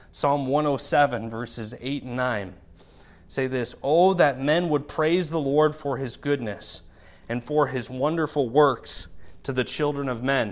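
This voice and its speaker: An ordinary speaking voice from a man at a fairly slow pace with ordinary pitch variation, on a very clean recording with a silent background. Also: fairly high pitch for a man. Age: 30s. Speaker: pastor. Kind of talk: sermon.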